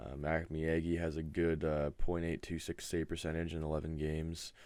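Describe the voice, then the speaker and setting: The speaker is a man. His voice is very deep and low. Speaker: gaming league host. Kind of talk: casual video update. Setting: webcam at home. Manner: monotone; soft-spoken.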